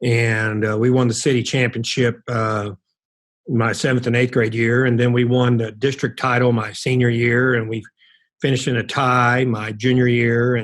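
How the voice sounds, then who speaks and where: Over a very clean recording with a silent background, a man with an American accent speaks at medium pitch and a moderate pace in monotone, flat intonation. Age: 60s. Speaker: college basketball coach. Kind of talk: interview.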